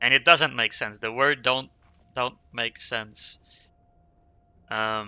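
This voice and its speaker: A man talks at a very slow pace in a Quebec accent. His medium-pitched voice has ordinary pitch variation and long, frequent pauses. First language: French. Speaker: streamer. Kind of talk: casual gaming livestream chat. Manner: halting, self-correcting.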